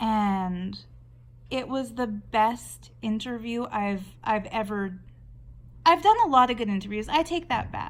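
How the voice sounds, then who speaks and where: A woman with a Canadian accent speaks at a fairly slow pace in a normal speaking voice, with a fairly high pitch and ordinary pitch variation. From Canada. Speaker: artist and video blogger. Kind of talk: casual talk while drawing. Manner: conversational, with fillers and restarts.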